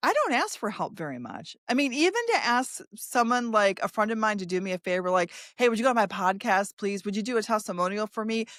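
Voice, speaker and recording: A woman speaks at a very fast pace with hardly any pauses. Her tone is animated. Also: fairly high pitch for a woman, ordinary pitch variation. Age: 60s. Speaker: podcast host. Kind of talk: casual interview chat. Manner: animated, many false starts.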